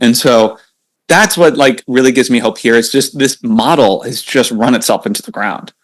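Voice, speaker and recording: With an American accent, a man talks fairly quickly at a medium pitch, his pitch varying in an ordinary way. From Iowa, Cedar Rapids. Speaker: antitrust author. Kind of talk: interview. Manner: fast; animated.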